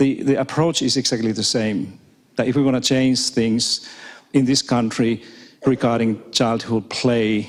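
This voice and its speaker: The speaker has a non-native accent, a moderate pace and fairly even intonation. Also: man. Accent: non-native, audibly foreign. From Finland. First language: Finnish and Swedish. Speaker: professor. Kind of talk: keynote talk. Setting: stage with audience. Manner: repetitive false starts.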